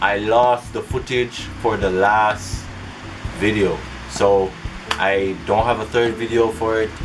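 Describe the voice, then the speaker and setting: With music in the background and audible room echo, a man with an American accent speaks at a very slow pace with long, frequent pauses, a fairly low pitch and monotone, flat intonation. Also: very even loudness. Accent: mostly American, some Jamaican patois. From Jamaica. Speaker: YouTuber. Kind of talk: casual vlog talk.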